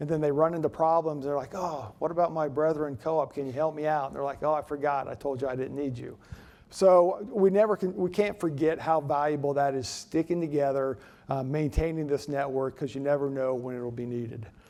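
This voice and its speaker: Against a quiet background, a man with a fairly high pitch and a dark, mellow tone talks at a fairly quick pace with ordinary pitch variation. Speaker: utility cooperative CEO giving keynote address. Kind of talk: conference speech. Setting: stage with audience. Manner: fast; hesitant with filler words and repetitions.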